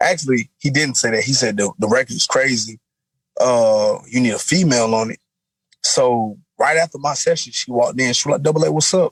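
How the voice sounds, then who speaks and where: A man talks at a fairly quick pace in an animated tone, his pitch medium with ordinary variation. The sound is dry and close, with no echo. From US South, South Florida (West Palm Beach). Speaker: rapper. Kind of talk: interview. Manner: casual, animated.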